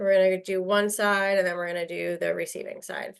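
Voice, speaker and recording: Fairly even intonation runs through this voice. A woman speaks with an American accent. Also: quiet background. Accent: New York accent, sometimes comes out. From New York. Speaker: real estate trainer. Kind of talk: online class instruction. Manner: fast.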